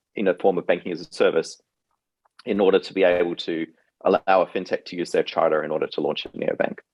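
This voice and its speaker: A man speaks at a fairly quick pace in a dry, close recording with no echo. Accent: slight Australian. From Australia. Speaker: fintech CEO and co-founder. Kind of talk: interview.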